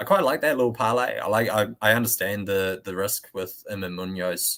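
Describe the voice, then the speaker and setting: A man speaks with a fairly low pitch and a bright, sharp tone. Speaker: golf betting podcast host. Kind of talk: casual podcast chat.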